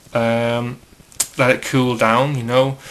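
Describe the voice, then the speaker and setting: Against noticeable background noise, a man talks in a medium pitch with monotone, flat intonation. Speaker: hobbyist custom figure maker. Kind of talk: tutorial. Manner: casual, filler-heavy.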